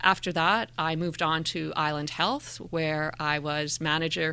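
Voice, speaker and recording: In a Canadian accent, the voice comes across with a bright, sharp tone. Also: woman, quiet background. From Calgary, Canada (adolescence in Indonesia). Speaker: school district mental health manager. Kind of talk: interview.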